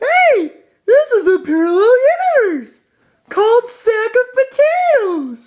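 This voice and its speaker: In a put-on character voice with an extremely high pitch, a man talks at a fairly slow pace with long, frequent pauses. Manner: cheerful, goofy.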